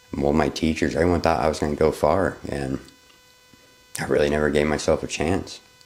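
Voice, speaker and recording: A man's very deep, low voice at a moderate pace, with fairly even intonation and noticeable background noise. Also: long, frequent pauses. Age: 30s. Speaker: vlogger, photographer. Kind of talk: unscripted personal vlog. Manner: casual, halting at times.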